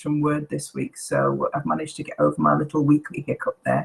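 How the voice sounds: A woman's croaky voice with vocal fry, a fairly bright tone and a slightly husky edge.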